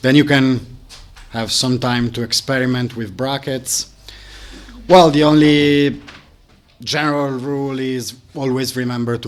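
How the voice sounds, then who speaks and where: The speaker has a non-native accent and talks at a fairly slow pace with long, frequent pauses. Loudness swings widely. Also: man. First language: not English. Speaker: live coding workshop instructor. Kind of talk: tutorial. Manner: halting.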